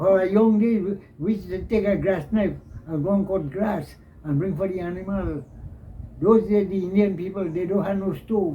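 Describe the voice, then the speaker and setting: A man with a Trinidadian accent has a dark, mellow tone and a high pitch. He talks at a moderate pace with fairly even intonation, and there is audible room echo. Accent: rural Trinidadian English. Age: 80s+. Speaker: elderly villager recounting history. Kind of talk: interview.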